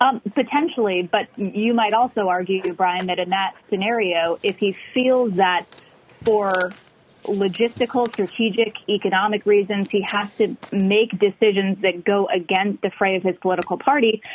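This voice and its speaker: A woman at a medium pitch and moderate pace, with fairly even intonation and very even loudness, over noticeable background noise. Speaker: Washington correspondent. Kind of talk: live news report. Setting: remote live shot.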